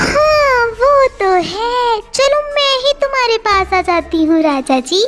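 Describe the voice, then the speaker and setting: Over loud background noise, a female-sounding cartoonish character voice squeaks at an extremely high pitch. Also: fairly slow pace, hardly any pauses. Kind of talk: cartoon story character voice. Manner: teasing, coaxing.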